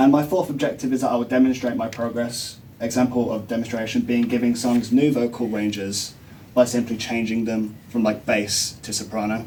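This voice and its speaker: A man with an unremarkable speaking voice talks fairly quickly, his mid-range pitch following fairly level intonation. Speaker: music student. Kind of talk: class presentation; answering questions.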